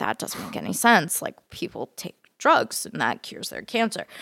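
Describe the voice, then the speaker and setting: With an American accent and some vocal fry, a woman speaks at a moderate pace with ordinary pitch variation in a dry, close sound with no echo. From Texas, Fort Worth. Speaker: medical student and cancer researcher. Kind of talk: casual interview.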